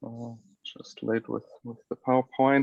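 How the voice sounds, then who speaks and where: Speaking at a fairly slow pace, a man with a non-native accent uses a medium pitch. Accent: non-native English, self-described. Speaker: flag football coach. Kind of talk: lecture. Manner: halting, many fillers.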